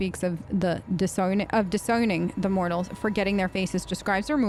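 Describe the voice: Fairly even intonation in a plain read-aloud delivery.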